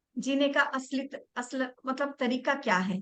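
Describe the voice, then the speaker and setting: A woman speaks at a high pitch with ordinary pitch variation. Her raised, projected voice has a bright, sharp tone. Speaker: reiki teacher. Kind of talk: online class.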